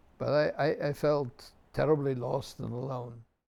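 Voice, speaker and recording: With a German accent, a man speaks at a fairly high pitch and a fairly slow pace. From Germany, Munich. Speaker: rabbi. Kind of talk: personal testimony. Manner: reflective, measured.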